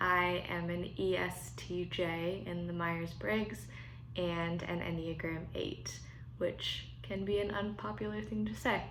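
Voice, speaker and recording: Very slowly, a woman with a General American accent speaks amid audible room echo. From Colorado. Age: 20s. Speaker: churchgoer sharing faith practice. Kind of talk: testimony. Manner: casual, with frequent fillers.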